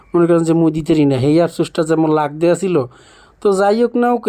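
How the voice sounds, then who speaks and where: A high-pitched man speaks with a Barishal accent. His tone is dark and mellow. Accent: Barishal Bengali dialect. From Barisal, Bangladesh. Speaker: travel vlogger. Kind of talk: travel vlog narration.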